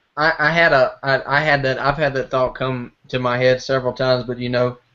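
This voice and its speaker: Speaking fairly quickly, a man at medium pitch keeps a monotone, flat intonation. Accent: American. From US South. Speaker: podcast host. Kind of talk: casual chat.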